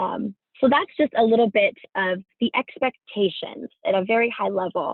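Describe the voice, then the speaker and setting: A woman speaks with fairly high pitch and lively intonation. Her pace is moderate. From California. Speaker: career fair prep presenter, engineering alum. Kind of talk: presentation to students on video call. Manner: frequent fillers (um, like, you know).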